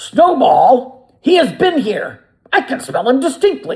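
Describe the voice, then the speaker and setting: High, fairly slow delivery in a put-on character voice. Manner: menacing, exclaiming.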